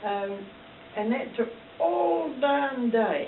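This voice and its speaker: Noticeable background noise sits under a woman talking at a medium pitch. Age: 80s+. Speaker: school alumna. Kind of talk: interview answer.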